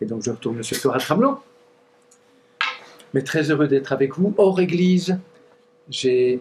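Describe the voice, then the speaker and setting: With a Franche-Comté accent, a man speaks at a moderate pace and ordinary pitch variation amid noticeable background noise. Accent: Doubs regional French. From eastern France, Doubs (Montbéliard area). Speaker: pastor. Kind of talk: conference talk. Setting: church weekend gathering with audience. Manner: halting, with fillers and restarts.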